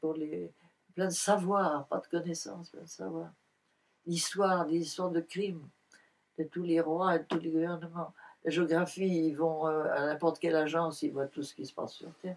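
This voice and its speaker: A woman speaks at a moderate pace with monotone, flat intonation and big swings in loudness. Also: fairly low pitch for a woman. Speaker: Buddhist nun and painter. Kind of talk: interview answer.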